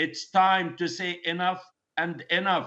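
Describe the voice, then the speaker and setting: With a Palestinian accent, a man with a high pitch speaks at a fairly slow pace. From Palestine (Gaza). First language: Arabic. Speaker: medical doctor. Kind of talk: news interview answer. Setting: remote video link.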